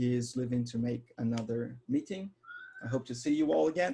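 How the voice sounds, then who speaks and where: Lively intonation from a man. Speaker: software developer advocate. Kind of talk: live coding tutorial. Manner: fast.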